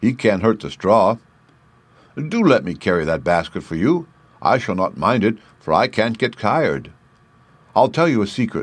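A husky, put-on character voice at a moderate pace, broken by long, frequent pauses. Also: man, medium pitch for a man. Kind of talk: dramatized classic children's story. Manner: friendly, gentle, confiding.

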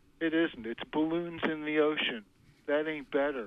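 A man speaks at a moderate pace in a fairly high pitch. His intonation stays fairly even. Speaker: caller. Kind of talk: call-in comment. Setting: phone call.

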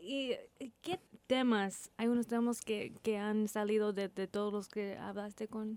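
Fairly slow and fairly even in intonation, a woman speaks at a fairly high pitch. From Texas, Corpus Christi. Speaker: radio host. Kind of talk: interview. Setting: studio. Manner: halting.

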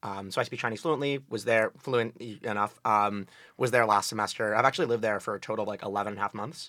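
With a northeastern American accent, a man talks very fast in a fairly low voice with a bright, sharp tone and ordinary pitch variation, on a very clean recording with a silent background. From New Haven, Connecticut. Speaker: college student on a date. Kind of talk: casual chat.

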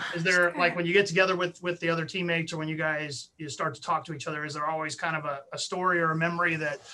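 This man talks at a very fast pace. His pitch is high and his intonation fairly even. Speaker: sports podcast host. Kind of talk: interview.

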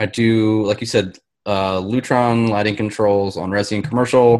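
With an American accent, a man speaks in a plain, everyday voice, fairly low in pitch and with fairly even intonation. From US. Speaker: guest, lighting and AV programmer. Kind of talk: casual chat.

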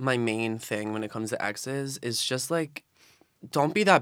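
A man in a Philadelphia accent at a moderate pace, on a very clean recording with a silent background. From South Philadelphia. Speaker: college student. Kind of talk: casual chat. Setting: studio.

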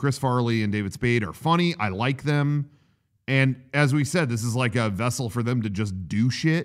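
A plain, everyday voice from a man at a medium pitch, with a moderate pace and ordinary pitch variation, in a very clean recording with a silent background. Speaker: podcast co-host. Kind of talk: casual banter. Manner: chatty, joking.

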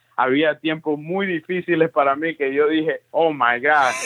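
The sound is dry and close, with no echo at all. A man talks with lively intonation. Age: 20s. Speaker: pastor. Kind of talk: interview testimony.

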